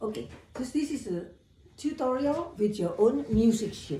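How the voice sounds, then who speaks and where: Audible room echo surrounds a somewhat breathy voice with a dark, mellow tone. The pace is very slow. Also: woman. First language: not Dutch or English. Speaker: piano teacher. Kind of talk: tutorial. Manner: halting.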